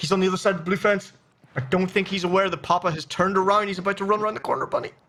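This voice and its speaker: Raised and projected, a man's high-pitched voice with a bright, sharp tone and an American accent races along at a very fast pace. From Texas. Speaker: esports caster. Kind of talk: live commentary. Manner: animated.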